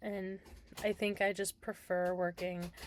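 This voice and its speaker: This woman speaks at a medium pitch. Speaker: cross-stitch vlogger. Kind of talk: casual chat.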